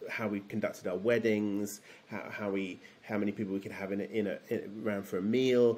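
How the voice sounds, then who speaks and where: A man speaks with a southern English accent at a fairly quick pace. His pitch is fairly low and his intonation is monotone and flat. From London, England. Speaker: theology PhD student and former pastor. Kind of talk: interview conversation. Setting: video call. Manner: halting, many fillers. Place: home room.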